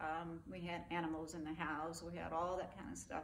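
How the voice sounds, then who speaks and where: With audible room echo, a woman with an American accent and a fairly low pitch speaks at a moderate pace in a monotone, flat intonation. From West Texas (Abilene). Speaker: army veteran. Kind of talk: oral history interview. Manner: conversational, with hesitations.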